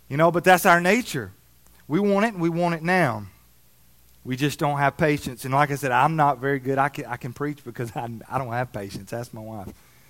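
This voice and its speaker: In a Southern US accent, a man speaks at a fairly quick pace with lively intonation and a fairly high pitch. The recording is very clean, with a silent background. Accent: Southern US, noticeable. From Alabama. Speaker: preacher. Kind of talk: sermon. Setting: church service with audience.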